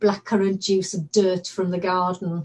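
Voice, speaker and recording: The speaker, a woman, keeps a moderate pace. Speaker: actor. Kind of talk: dramatic monologue performance. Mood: warm, fond storytelling. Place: home room. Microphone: webcam.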